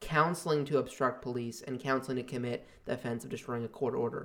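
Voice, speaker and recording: A man with a plain, everyday voice at a medium pitch and a fairly quick pace, with fairly even intonation. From outside Canada. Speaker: podcast guest. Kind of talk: casual chat.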